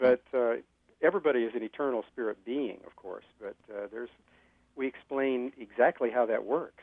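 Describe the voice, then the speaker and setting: A man's plain, everyday voice, with ordinary pitch variation and big swings in loudness. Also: medium pitch for a man, moderate pace. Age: 60s. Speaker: author, former pastor. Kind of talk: interview.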